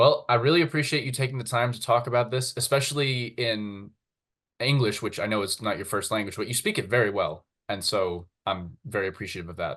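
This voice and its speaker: With a normal speaking voice and an American accent, a man speaks fairly quickly at medium pitch with ordinary pitch variation against a quiet background. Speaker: fencing YouTuber. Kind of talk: interview.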